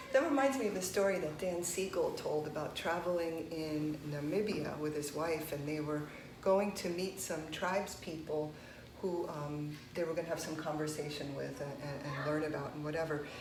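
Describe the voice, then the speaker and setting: Speaking at a moderate pace with fairly even intonation, a woman uses a very deep, low pitch amid noticeable background noise and audible room echo. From United States, child of immigrants. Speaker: meditation teacher. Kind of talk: conversational discussion.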